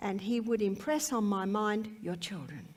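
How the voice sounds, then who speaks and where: A woman with an Australian accent speaks at a fairly slow pace with a fairly high pitch. Noticeable background noise and audible room echo surround her voice. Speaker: health educator. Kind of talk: testimony.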